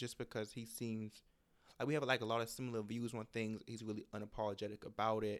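At a very fast pace, a man talks in an animated tone with a medium pitch. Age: 20s. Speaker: podcast host. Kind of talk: casual chat.

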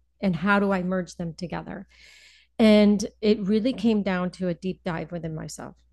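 Over a quiet background, a woman with an American accent talks at a moderate pace and medium pitch. Her intonation is fairly even, and she has a plain, everyday voice. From US Northeast, Connecticut (Hartford area). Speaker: financial advisor. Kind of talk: casual interview.

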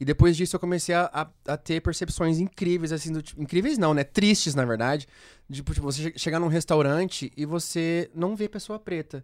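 On a very clean recording with a silent background and a dry, close sound with no echo, a man with a high pitch speaks at a moderate pace with ordinary pitch variation. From Londrina, Paraná, Brazil. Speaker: pop singer. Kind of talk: casual chat.

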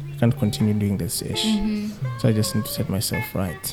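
Music plays in the background. A man with a fairly low pitch speaks at a moderate pace. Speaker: podcast guest. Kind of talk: casual conversational.

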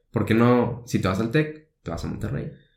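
Audible room echo fills the space as a man speaks at a fairly quick pace. His pitch is medium, with ordinary variation. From Mexico, Tepic (Nayarit). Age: 20s. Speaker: university student. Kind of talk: casual chat.

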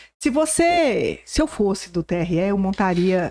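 A woman speaks in a dark, mellow tone, captured in a very clean recording against a silent background. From Brazil, southwest Goiás. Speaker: political journalist. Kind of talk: casual interview.

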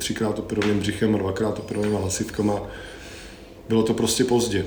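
Amid noticeable background noise and audible room echo, a man speaks at a fairly quick pace with monotone, flat intonation. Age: 40s. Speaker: sensory marketer and musician, former roadie. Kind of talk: casual interview chat.

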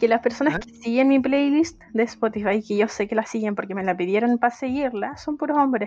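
A woman with a Chilean accent, fairly high pitch, fairly quick pace and hardly any pauses. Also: ordinary pitch variation. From Chile, Viña del Mar. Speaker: podcast co-host. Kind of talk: casual chat.

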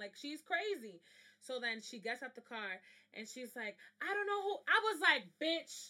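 A woman's raised, projected voice comes across animated, with a bright, sharp tone. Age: 20s. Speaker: podcast host. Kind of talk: casual chat.

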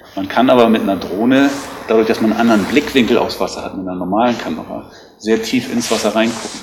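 Talking at a very fast pace with fairly even intonation, a man is heard through noticeable background noise and audible room echo. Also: medium pitch for a man. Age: 50s. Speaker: lifeguard association official. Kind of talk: interview. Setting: on location at rescue station.

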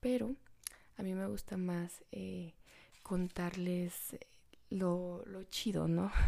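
A woman talks at a very slow pace with long, frequent pauses. Her fairly low pitch has a dark, mellow tone and ordinary pitch variation. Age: young. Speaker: podcast host. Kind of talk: casual monologue.

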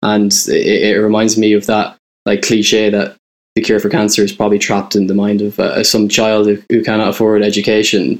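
A man with an Irish Midlands accent, fairly low in pitch, flat and monotone, very even in loudness, at a moderate pace. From Ireland, County Roscommon. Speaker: music writer. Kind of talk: casual interview.

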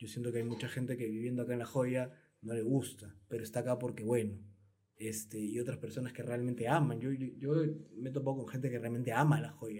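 A man at medium pitch speaks at a fairly quick pace with a dark, mellow tone, somewhat breathy and with fairly even intonation, in a room with audible echo. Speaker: podcast host. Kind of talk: casual interview. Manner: stammering, repeats words.

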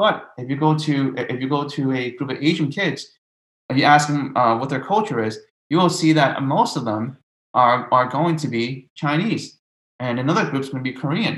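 Speaking at a moderate pace with an American accent, a man uses an ordinary speaking voice, fairly high in pitch, with ordinary pitch variation. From New York City (Brooklyn). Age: 20s. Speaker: middle school teacher. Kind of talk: casual discussion.

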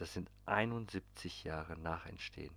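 A man is speaking. He whispers. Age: 30s. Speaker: podcast host. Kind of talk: casual monologue. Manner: animated.

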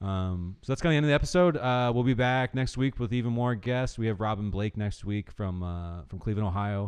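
A man with a normal speaking voice talks at a fairly quick pace with hardly any pauses, his pitch fairly low and its variation ordinary. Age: 30s. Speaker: podcast host. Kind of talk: casual interview chat; scripted intro.

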